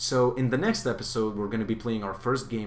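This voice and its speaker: In a non-native accent, a man speaks at a medium pitch with fairly even intonation. The room echo is audible. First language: not English. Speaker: gaming youtuber. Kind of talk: gameplay commentary. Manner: hesitant, many fillers.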